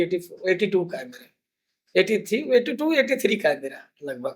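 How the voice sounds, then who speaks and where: This man's pitch swings very widely as he talks at a moderate pace. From Andhra Pradesh, India; moved to Raipur as teen. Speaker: food charity founder, hotel owner. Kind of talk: interview, personal life story.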